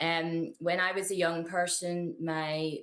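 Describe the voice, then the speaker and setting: A woman's very deep, low voice in a strong Belfast accent, monotone and flat, at a fairly slow pace. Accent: thick Belfast. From Northern Ireland, Belfast. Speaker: activist. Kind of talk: interview testimony. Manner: halting, many fillers and repeats.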